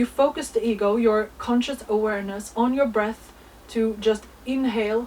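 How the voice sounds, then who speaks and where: Over noticeable background noise, a woman with a fairly high pitch speaks at a moderate pace in a fairly even intonation. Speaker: astrology content creator. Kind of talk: spiritual monologue.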